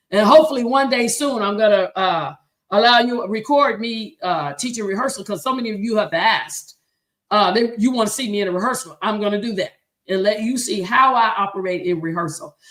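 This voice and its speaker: Fairly high, animated woman's voice with lively intonation and a fairly quick pace. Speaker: choir director and show host. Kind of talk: livestream teaching talk. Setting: live stream. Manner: fast.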